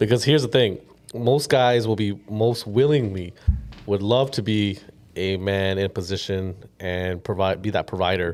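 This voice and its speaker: With a Canadian accent, a man talks at a moderate pace in a plain, everyday voice, fairly low in pitch with ordinary pitch variation. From Canada (Ontario). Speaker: podcast host. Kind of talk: casual chat.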